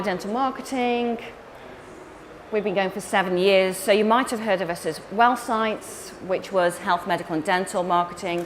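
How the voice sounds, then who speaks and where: Someone with an English accent speaks at a moderate pace with ordinary pitch variation, amid noticeable background noise and audible room echo. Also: woman. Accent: English accent, still noticeable. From England. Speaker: marketing company director and conference speaker. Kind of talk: conference talk. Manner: animated.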